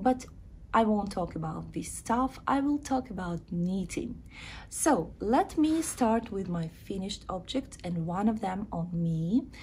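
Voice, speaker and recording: At a fairly slow pace, a woman with a Ukrainian accent speaks in a somewhat breathy, medium-pitched voice that moves through very wide pitch swings. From Ukraine. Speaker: knitting vlogger. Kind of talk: casual video chat, craft show-and-tell. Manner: halting, with filler sounds.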